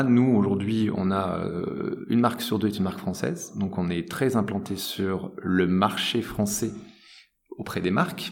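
Fairly low male pitch with ordinary pitch variation, a moderate tempo, and audible room echo from a man. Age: 30s. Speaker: tech company director. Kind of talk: interview. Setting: office.

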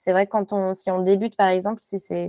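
A woman's medium-pitched voice, dry and close with no echo, on a very clean recording with a silent background. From Morocco (French parents). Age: young. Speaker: textile designer. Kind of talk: interview.

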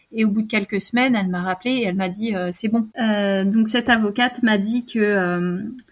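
A woman speaks at a fairly high pitch and a moderate pace. Her voice is somewhat breathy. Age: 30s. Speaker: abuse survivor. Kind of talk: testimony. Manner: halting.

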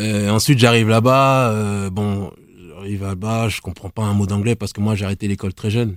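Over a very clean recording with a silent background and a dry, close sound with no echo, a man with a plain, everyday voice speaks fairly quickly at a fairly low pitch with fairly even intonation. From Île-de-France (Nemours, 77). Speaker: former taekwondo athlete and rapper. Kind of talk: casual chat.

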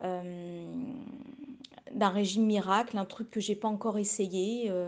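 The intonation stays monotone and flat. The words come out at a very slow pace. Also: woman. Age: 40s. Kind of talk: recorded testimony. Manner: halting, many repetitions.

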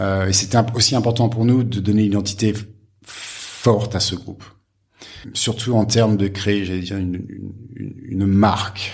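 In a room with audible echo, a man speaks with a somewhat breathy, fairly low voice, monotone and flat, with long, frequent pauses. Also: moderate pace. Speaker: hotel group executive. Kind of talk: interview. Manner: halting, many repetitions and fillers.

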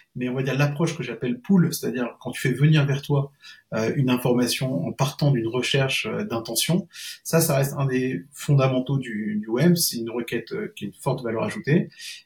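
A man's fairly quick speech, with ordinary pitch variation, carries over noticeable background noise. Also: medium pitch for a man. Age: 40s. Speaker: SEO consultant and freelancer. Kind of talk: casual interview chat. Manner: hesitant, many fillers.

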